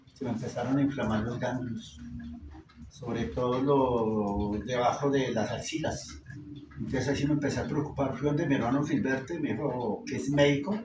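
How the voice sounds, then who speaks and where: Over noticeable background noise, a man talks at a moderate pace at a medium pitch, with ordinary pitch variation. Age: 60s. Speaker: engineer and cancer patient. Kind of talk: interview testimony.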